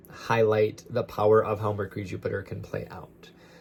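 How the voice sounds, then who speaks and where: A man at a fairly low pitch and a moderate pace. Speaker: astrologer. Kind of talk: lecture. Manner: loud.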